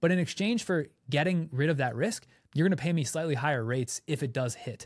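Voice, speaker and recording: A man talks at a very fast pace with lively intonation and an animated tone. His pitch is fairly high and his voice somewhat breathy. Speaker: content creator and podcast co-host. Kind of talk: casual brainstorm chat.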